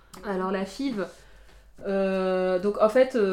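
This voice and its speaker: A voice with a dark, mellow tone speaks at a very slow pace. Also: woman. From France, family of Guinean immigrants. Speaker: interviewee sharing her life story. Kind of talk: personal testimony interview. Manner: halting, with frequent repetitions.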